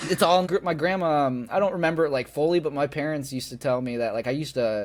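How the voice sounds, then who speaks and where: A man with an American accent talks at a very fast pace. His pitch varies in an ordinary way. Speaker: bare knuckle fighter. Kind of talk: interview. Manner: loud.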